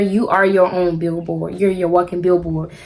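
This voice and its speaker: A woman talks with a Southern US accent. There is noticeable background noise. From South Carolina. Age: 20s. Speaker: hairstylist. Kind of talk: casual talk to camera.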